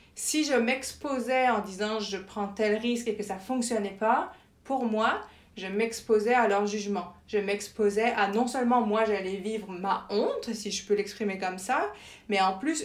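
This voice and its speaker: There is audible room echo around this woman's voice. She speaks with fairly high pitch and fairly even intonation. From France. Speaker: journalist and communications professional. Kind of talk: interview conversation.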